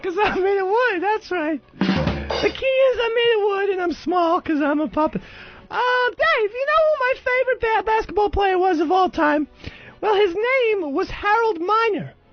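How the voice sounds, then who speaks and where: Over faint background music, a man performs a cartoonish character voice at an extremely high pitch and a moderate pace. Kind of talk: comedy radio bit. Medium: puppet.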